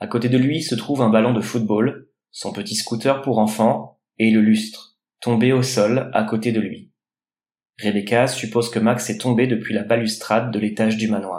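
Delivery is monotone and flat at a moderate pace. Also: man, medium pitch for a man. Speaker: guest. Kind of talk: true-crime narration, read out.

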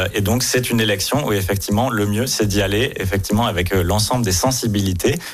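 Over background music and audible room echo, a man talks at a fairly quick pace in a fairly low pitch with very even loudness. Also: ordinary pitch variation. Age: young. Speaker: city deputy mayor, politician. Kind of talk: radio interview.

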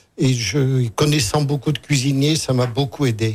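This man's voice sounds somewhat breathy. It rests at a medium pitch. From Cantal, Auvergne. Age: old. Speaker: retired journalist and farmer. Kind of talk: radio interview.

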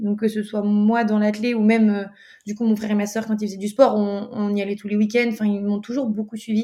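A woman's dark, mellow, somewhat breathy voice at a very fast pace. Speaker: athlete. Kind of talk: interview.

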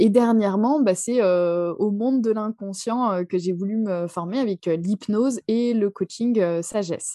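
At a very slow pace with hardly any pauses, the voice has a dark, mellow tone and ordinary pitch variation, recorded dry and close with no echo. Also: woman, medium pitch for a woman. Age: 30s. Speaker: hypnotherapist and numerologist. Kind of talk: interview.

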